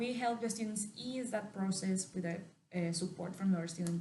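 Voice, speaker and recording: Spoken in a Mexican accent at a moderate pace, the voice has fairly even intonation and audible room echo. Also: woman. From Mexico. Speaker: university representative. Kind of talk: interview.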